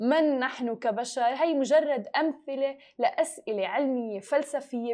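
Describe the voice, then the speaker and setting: A woman speaks at a fairly slow pace in a high pitch with a dark, mellow tone. Her pitch variation is ordinary, and the background is quiet. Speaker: podcast host. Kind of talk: news reading.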